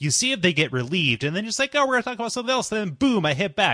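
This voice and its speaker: In a dry, close recording with a quiet background, a man projects a raised, high-pitched voice with a bright, sharp tone and very wide pitch swings. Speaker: voice-over artist; video game show host.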